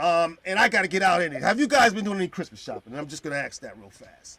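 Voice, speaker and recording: On a very clean recording with a silent background, a man with a high pitch speaks in an animated tone with lively intonation. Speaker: podcast host. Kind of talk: casual chat. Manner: loud.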